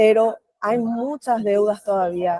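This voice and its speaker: In a Paraguayan accent, a woman speaks at a very slow pace with a medium pitch, a dark, mellow tone and fairly even intonation, in a dry, close sound with no echo. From rural Paraguay. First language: Guarani (speaking Spanish). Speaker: researcher and panel speaker. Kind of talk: panel presentation.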